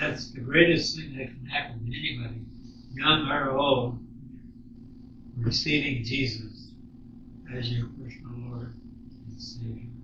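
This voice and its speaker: Over noticeable background noise, a man talks fairly slowly at a medium pitch with fairly even intonation, big swings in loudness and long, frequent pauses. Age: 80s+. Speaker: former missionary. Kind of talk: interview answer. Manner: humorous, reminiscing.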